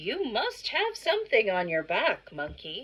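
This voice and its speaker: A woman puts on a character voice at a fairly high pitch. She speaks at a fairly slow pace. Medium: read story. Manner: inquisitive.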